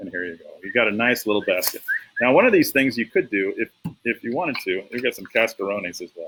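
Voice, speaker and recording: The delivery comes at a very fast pace. Its loudness swings widely. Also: man. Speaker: teacher. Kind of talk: tutorial. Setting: outdoors.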